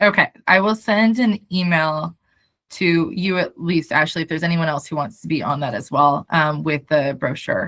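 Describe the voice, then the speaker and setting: An ordinary speaking voice, medium in speed, with a normal amount of pitch movement. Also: woman, fairly low pitch for a woman. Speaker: startup founder. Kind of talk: video call update meeting.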